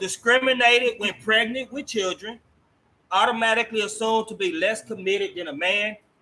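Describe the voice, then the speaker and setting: Speaking very fast in a raised, projected voice, the man has a high pitch and a bright, sharp tone. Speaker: talk show host. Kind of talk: interview. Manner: loud.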